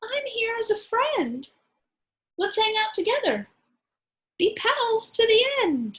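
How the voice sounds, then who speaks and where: A squeaky, extremely high-pitched woman's put-on character voice, timid in tone, with lively intonation, a fairly slow pace and long, frequent pauses. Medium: read story.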